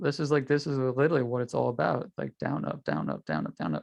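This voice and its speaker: Speaking with vocal fry in a New York accent, a medium-pitched man talks at a fairly quick pace. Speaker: trading instructor. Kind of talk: tutorial. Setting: video call. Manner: fast.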